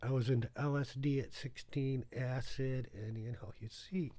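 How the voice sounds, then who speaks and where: A man at medium pitch, somewhat breathy, with a dark, mellow tone. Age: 60s. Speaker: video blogger. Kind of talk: casual monologue. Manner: rambling, conversational.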